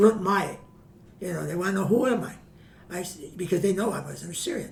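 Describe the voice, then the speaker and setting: Over noticeable background noise and audible room echo, a man with an American accent talks fairly quickly at a high pitch with ordinary pitch variation. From US Midwest, Chicago. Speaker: family historian guest. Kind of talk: interview storytelling.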